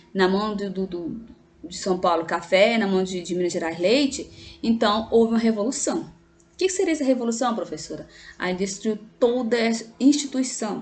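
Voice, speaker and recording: A woman with a fairly high voice speaks at a moderate pace with lively intonation. Music plays in the background, and room echo is audible. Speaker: teacher. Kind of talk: lecture. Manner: halting.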